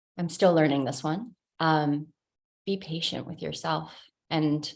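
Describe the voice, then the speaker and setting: A woman with an American accent talks at a fairly slow pace in a very deep, low voice with fairly even intonation. The recording is very clean, with a silent background. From Italy (Rome), then United States. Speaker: life coach, subconscious expert. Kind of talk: interview.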